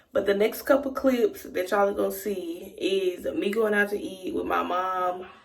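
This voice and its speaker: A woman's medium-pitched voice with an American accent, lively intonation and a moderate pace, over noticeable background noise. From Texas. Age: 20s. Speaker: lifestyle vlogger. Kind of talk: casual vlog intro to camera.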